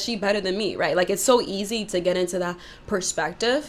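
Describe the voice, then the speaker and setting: A woman talks at a medium pitch. Her pace is moderate and her pitch variation ordinary. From New York, Dominican family. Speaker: YouTuber. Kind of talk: commentary monologue. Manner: loud tendency; casual, many fillers.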